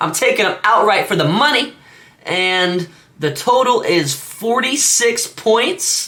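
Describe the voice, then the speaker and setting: Lively intonation marks a man's high-pitched voice. He speaks in a raised, projected way. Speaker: sports betting youtuber. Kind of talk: solo sports picks monologue. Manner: halting, many fillers and stutters; casual.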